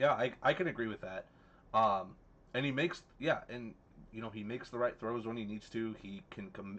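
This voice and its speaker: This is a man's normal speaking voice at a medium pitch, delivered at a moderate pace. His loudness swings widely and his intonation is lively. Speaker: fantasy football podcast co-host. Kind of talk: casual chat.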